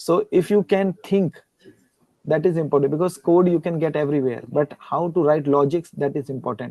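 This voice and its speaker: A man with an Indian accent, fairly high-pitched, at a moderate pace with ordinary pitch variation. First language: Hindi. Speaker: guest lecturer and researcher. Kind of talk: Q&A conversation after a lecture. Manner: halting, with repetitions.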